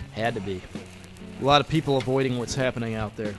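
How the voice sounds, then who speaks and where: Over clear background music, a man does a put-on character voice at medium pitch. He talks very fast. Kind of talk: radio drama performance.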